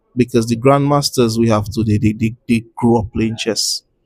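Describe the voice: A man's medium-pitched voice with a slightly husky edge and fairly even intonation.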